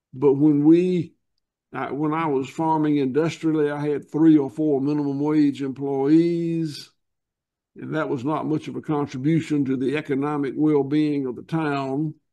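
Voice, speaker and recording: This man speaks at a moderate pace with a Southern US accent and a dark, mellow tone, pitched fairly high for a man. His intonation stays monotone and flat against a quiet background. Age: 70s. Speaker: farmer. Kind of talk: interview. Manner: halting.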